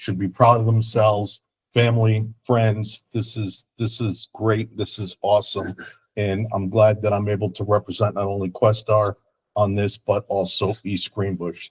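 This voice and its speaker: A somewhat breathy man speaks at a moderate pace in a monotone, flat delivery, the sound dry and close with no echo. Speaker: school board member. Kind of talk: formal remarks at public meeting.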